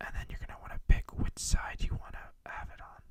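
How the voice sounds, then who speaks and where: Someone whispers at a fairly quick pace. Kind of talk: ASMR tech tutorial. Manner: whispered.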